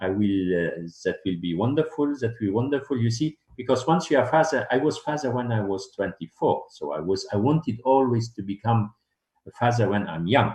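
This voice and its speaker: This man has a medium pitch and talks at a fairly quick pace. His intonation is lively. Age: 60s. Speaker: dentist. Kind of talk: interview. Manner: halting.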